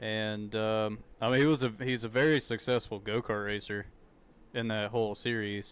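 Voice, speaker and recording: A man speaks at a fairly low pitch. His intonation is fairly even. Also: moderate pace, very clean recording, silent background. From US South. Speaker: streamer. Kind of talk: live reaction commentary. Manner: casual, halting.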